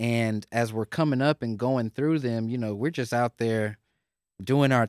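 In a normal speaking voice, a man with an American accent talks at a fairly slow pace and medium pitch on a very clean recording with a silent background. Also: dry, close sound with no echo. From Houston, Texas. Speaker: podcast host. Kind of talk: casual interview chat.

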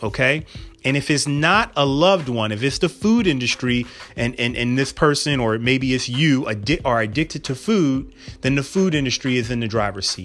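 A man speaks in an ordinary speaking voice at medium pitch and a moderate pace. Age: 40s. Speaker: podcast host and physician. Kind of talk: casual solo podcast talk.

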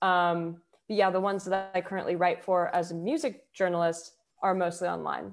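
In a very clean recording with a silent background, a plain, everyday voice moves at a fairly quick pace with fairly even intonation. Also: woman, fairly low pitch for a woman. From Houston, Texas. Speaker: singer-songwriter and poet. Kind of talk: casual interview chat.

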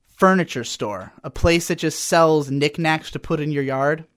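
The recording is very clean with a silent background. A man with an American accent and fairly high pitch talks at a moderate pace. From US South. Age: 20s. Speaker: podcast host. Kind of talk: stream-of-consciousness rant. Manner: animated.

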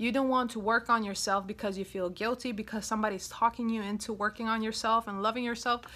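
A woman with a European accent speaks at a very fast pace with hardly any pauses, her pitch fairly high. Her tone is bright, sharp, warm and upbeat, on a very clean recording with a silent background. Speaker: self-love coach and podcast host. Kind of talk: solo podcast monologue about self-love. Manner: warm, upbeat, chatty, frequent laughs.

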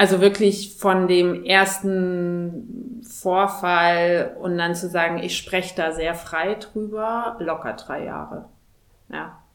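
At a very slow pace and medium pitch, a woman speaks with fairly even intonation and big swings in loudness. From Thuringia, Germany. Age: 30s. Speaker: corporate executive. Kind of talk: interview.

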